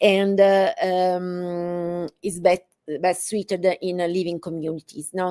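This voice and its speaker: A woman speaks in an Italian accent at a fairly slow pace, her tone dark and mellow. Her pitch is medium and her intonation monotone and flat. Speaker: professor. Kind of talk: lecture. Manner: halting, many fillers.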